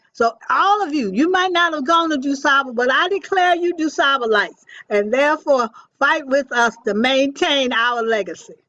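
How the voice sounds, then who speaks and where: In an American accent, a woman uses a raised, projected voice with high pitch, lively intonation and a bright, sharp tone at a moderate pace. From Chicago. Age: 90s. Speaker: school alumni leader. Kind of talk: community meeting speech. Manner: impassioned.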